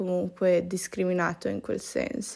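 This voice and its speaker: This woman is recorded very cleanly. The background is silent. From Italy. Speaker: pastry chef. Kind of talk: casual solo podcast monologue. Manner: casual, slangy with English words.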